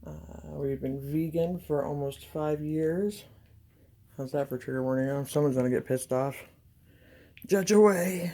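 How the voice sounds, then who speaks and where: A woman speaks in a very deep, low pitch with a dark, mellow tone, ordinary pitch variation, and long, frequent pauses. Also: moderate pace. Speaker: painter. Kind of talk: casual chat.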